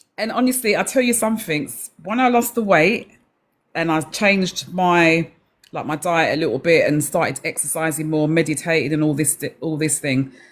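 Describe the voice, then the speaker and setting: A woman speaks with an English accent and lively intonation. The recording is very clean, with a silent background. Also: fairly low pitch for a woman, moderate pace. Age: 60s. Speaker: live-stream participant sharing menopause experience. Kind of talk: personal testimony. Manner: halting.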